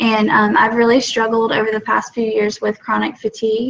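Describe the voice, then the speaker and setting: A woman is speaking. Her pitch is fairly high. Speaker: product ambassador. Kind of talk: testimony. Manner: fast; halting, many fillers.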